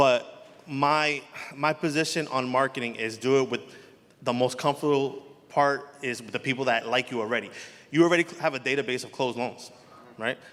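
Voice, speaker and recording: A man with a strong New Jersey accent talks at a fairly quick pace with fairly even intonation, broken by long, frequent pauses. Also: medium pitch for a man. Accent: heavy New Jersey. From New Jersey, Elizabeth. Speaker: mortgage loan officer. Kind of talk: panel discussion.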